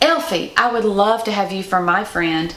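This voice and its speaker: A woman speaks at a fairly slow pace while noticeable background noise carries on behind her. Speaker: Mrs. Claus performer. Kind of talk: children's picture book read-aloud.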